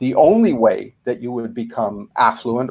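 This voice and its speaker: A man with a Canadian accent talks at a moderate pace. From Canada. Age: 60s. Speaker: author and fear coach. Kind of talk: interview. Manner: hesitant, many fillers.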